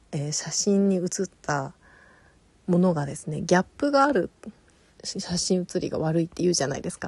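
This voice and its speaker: At a moderate pace, a woman speaks in a medium pitch with long, frequent pauses. Her voice is somewhat breathy, and the sound is dry and close with no echo. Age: 40s. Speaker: podcast host and illustrator. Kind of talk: casual solo talk.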